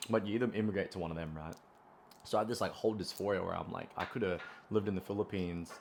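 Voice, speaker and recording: At a very fast pace, a man with a strong Australian accent speaks in a fairly low pitch with fairly even intonation. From Australia, Brisbane. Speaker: running content creator. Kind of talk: casual vlog monologue. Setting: at home. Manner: casual, many fillers.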